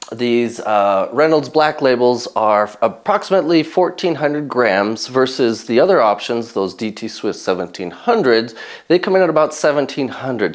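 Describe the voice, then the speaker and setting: Lively intonation at a moderate pace. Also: man. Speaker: mountain bike product reviewer. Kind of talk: casual video review. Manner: loud; animated.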